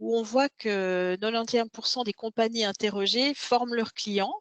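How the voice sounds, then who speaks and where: Dry and close with no echo, a woman's fairly high voice keeps a fairly even intonation. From Switzerland. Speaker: tech company founder. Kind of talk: webinar presentation.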